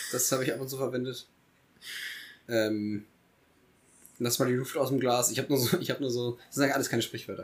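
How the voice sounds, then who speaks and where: Speaking at a very fast pace, a man keeps a medium pitch and fairly even intonation. He breaks his speech with long, frequent pauses. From Germany, Eifel region. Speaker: podcast co-host. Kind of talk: casual chat. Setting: studio.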